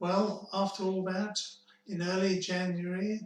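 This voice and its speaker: The man speaks at a fairly slow pace with a high pitch. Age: 70s. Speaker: cancer survivor telling his story. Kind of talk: personal testimony. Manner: measured, with hesitations.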